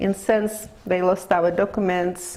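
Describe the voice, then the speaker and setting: Someone speaks at a fairly slow pace in a Russian accent over noticeable background noise. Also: woman. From Lithuania. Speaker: immigrant interviewee. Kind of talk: oral history interview. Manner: halting.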